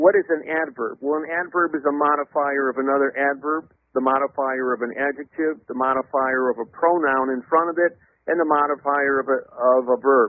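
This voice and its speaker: At a fairly quick pace, a man speaks with a fairly high pitch and fairly even intonation. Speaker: legal theorist guest on interview show. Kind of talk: interview.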